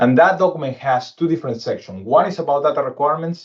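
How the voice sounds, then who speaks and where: This man's speech comes very fast. There is a somewhat breathy quality to it. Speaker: cybersecurity consultant. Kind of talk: webinar presentation. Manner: halting.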